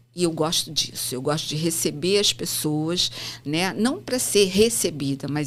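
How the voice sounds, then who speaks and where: A woman's voice with lively intonation. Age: 60s. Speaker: psychomotor therapist and author. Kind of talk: interview conversation.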